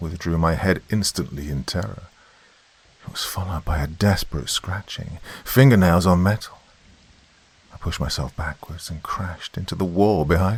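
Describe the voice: A man speaks in a low voice with a slightly husky edge and ordinary pitch variation.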